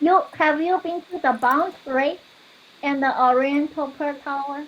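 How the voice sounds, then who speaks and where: Speaking in a Chinese accent at a fairly slow pace, a woman uses a high pitch and fairly even intonation in a very clean recording with a silent background. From China, Shanghai. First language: Mandarin Chinese. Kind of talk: casual chat.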